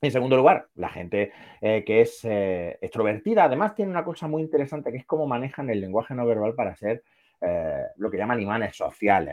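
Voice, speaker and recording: Words pour out very fast. The man's pitch is medium. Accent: Andalusian. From Andalusia, Granada. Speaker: psychologist. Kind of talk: casual chat. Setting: live stream.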